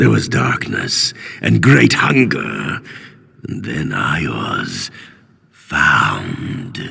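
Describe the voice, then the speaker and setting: A man growls in a put-on character voice with a menacing tone, his pitch very deep and low. He speaks at a very slow pace with long, frequent pauses. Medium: video game. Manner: proud, unhinged and menacing.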